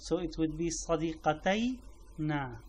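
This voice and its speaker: A man talks with a Syrian accent. His pitch is fairly high. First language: Arabic. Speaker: language teacher. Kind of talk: tutorial. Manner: halting.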